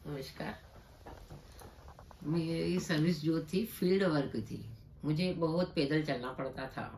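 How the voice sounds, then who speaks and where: A woman speaks with vocal fry. Audible room echo surrounds her voice. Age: 60s. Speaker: patient. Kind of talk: testimony.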